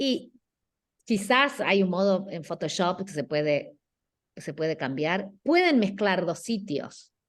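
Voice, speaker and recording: Intonation rises and falls in a lively way while the delivery unfolds at a very slow pace. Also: woman, medium pitch for a woman. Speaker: guest architecture lecturer. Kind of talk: class critique of student work. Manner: halting.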